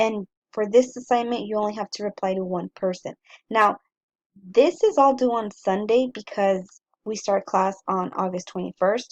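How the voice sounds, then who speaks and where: A woman's fairly high voice at a moderate pace, with ordinary pitch variation and a dry, close sound with no echo. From US-Mexico border, El Paso, Texas. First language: Spanish. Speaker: college English instructor. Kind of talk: lecture, syllabus walkthrough. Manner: casual, some filler words.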